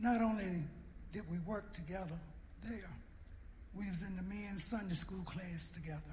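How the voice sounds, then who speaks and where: The speaker keeps a moderate pace and fairly even intonation, leaving long, frequent pauses. Noticeable background noise is present. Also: man, high pitch for a man. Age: 70s. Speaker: church elder. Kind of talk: eulogy tribute. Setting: church.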